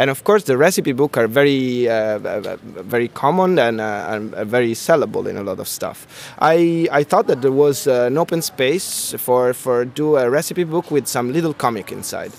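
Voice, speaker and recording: Amid noticeable background noise, a man with an Italian accent speaks with lively intonation at a fairly high pitch. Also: moderate pace. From Italy. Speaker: comic artist and illustrator. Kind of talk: interview. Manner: halting, with many repetitions and fillers.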